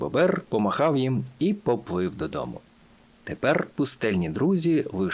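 The text is read in a natural voice.

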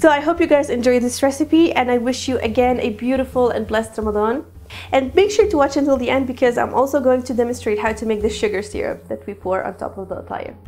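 A woman's high-pitched voice, very fast pace and lively intonation. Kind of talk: cooking tutorial intro. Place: kitchen. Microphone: lapel.

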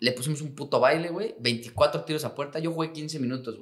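Against a quiet background, a man's words come at a fairly quick pace. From Mexico. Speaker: professional footballer; guest. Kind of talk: casual chat. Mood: relaxed, joking, slangy storytelling. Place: studio. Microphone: studio mic.

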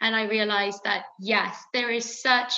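Against a quiet background, a woman with a Welsh accent speaks at a moderate pace in a fairly high pitch, her tone bright and sharp and her intonation monotone and flat. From Wales. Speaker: fashion brand founder. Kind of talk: interview. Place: home room. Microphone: webcam.

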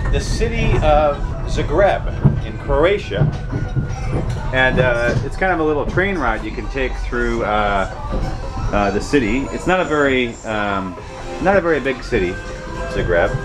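Over clear music in the background, a man talks at a fairly slow pace with long, frequent pauses. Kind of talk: casual vlog chat. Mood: relaxed, pleased. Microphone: phone near.

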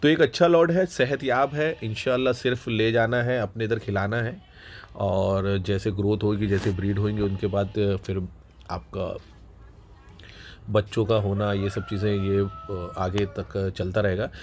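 At a fairly slow pace, a man talks in a fairly low, slightly mellow voice with fairly even intonation.

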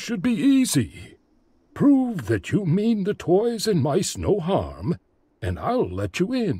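A man with a high pitch speaks very slowly. The recording is very clean, its background silent. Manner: jovial, teasing.

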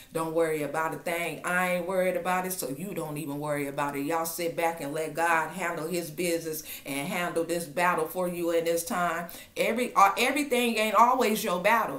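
At a fairly quick pace, a woman speaks in a warm tone with a fairly low pitch and ordinary pitch variation. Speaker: online prophetic minister. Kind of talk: fervent prophetic exhortation, declaring God's protection over listeners. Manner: impassioned and insistent, repeating 'in Jesus' name' like a refrain; warm, intimate address to listeners as family. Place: home room. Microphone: webcam.

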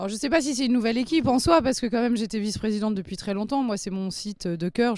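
Very fast speech with lively intonation. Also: woman. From southwest France, Gironde coast. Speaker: racecourse vice-president. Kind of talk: interview.

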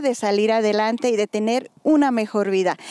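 A woman speaks at a moderate pace with ordinary pitch variation. Her tone is clear and smooth, yet dark and mellow.

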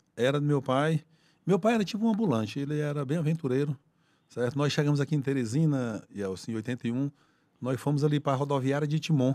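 Against a quiet background, a man speaks very fast in a fairly high voice. His tone is dark and mellow, with ordinary pitch variation. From Piauí, Brazil (Corrente, far south); Piauí, Brazil. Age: 50s. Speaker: police colonel and state politician; state politician. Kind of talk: casual interview. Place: studio. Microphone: studio mic.

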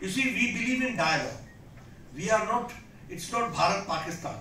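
Against light background noise and audible room echo, a man speaks in a raised, projected voice. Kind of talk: political speech. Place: hall. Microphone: podium.

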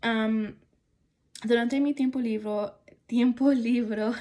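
This woman has a dark, mellow tone and her intonation stays fairly even. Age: 20s. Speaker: student. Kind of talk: class assignment monologue. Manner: halting. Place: home room. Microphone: phone near.

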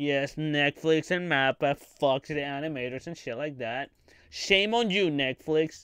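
On a very clean recording with a silent background, a man speaks at a fairly slow pace with fairly high pitch, ordinary pitch variation and a clear, smooth, fairly bright tone.

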